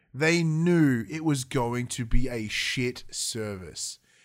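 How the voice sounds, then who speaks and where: A man with an Australian accent, an animated tone and very wide pitch swings, on a very clean recording with a silent background. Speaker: gaming podcast co-host. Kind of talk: casual chat. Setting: live-streamed studio recording.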